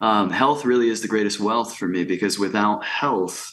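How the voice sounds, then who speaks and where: A man talks at a moderate pace with an ordinary speaking voice, fairly low in pitch and fairly even in intonation. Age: 30s. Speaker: life coach. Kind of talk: casual interview conversation.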